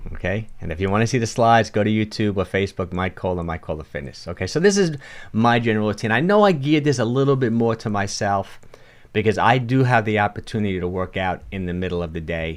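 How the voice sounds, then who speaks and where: Very fast talk from a man with a strong New York accent and fairly low pitch. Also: ordinary pitch variation. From New York (Bronx, Yonkers). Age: 60s. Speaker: fitness coach. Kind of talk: livestream talk with chat Q&A. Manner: casual, halting.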